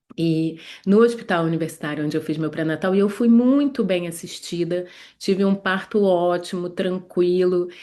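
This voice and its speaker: Against a quiet background, a woman with a Rio de Janeiro accent speaks at a moderate pace, her fairly low pitch carrying a dark, mellow tone and ordinary pitch variation. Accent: Carioca Brazilian Portuguese. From Rio de Janeiro, Brazil. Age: 40s. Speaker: gynecologist. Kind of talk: online class. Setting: livestream from her medical office. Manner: hesitant, many fillers.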